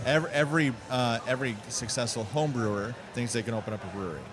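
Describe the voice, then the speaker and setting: Amid noticeable background noise and audible room echo, the speaker goes at a fairly quick pace with ordinary pitch variation. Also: man. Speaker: brewery co-owner. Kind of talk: casual chat. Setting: at the brewery.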